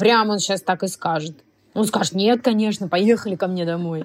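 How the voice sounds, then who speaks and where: Lively intonation runs through an unremarkable speaking voice that keeps a moderate pace. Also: woman. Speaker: actress. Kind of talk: casual chat.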